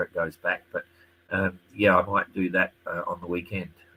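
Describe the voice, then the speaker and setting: There is light background noise as a man speaks with an Australian accent. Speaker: sailing race commentator. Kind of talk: live stream tutorial and chat. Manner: fast. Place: home room. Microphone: webcam.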